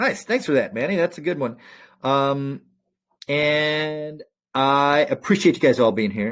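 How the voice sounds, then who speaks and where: Lively intonation at a fairly slow pace, on a very clean recording with a silent background. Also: man. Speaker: stock market analyst hosting live session. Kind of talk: live trading chart review. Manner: casual, halting with fillers.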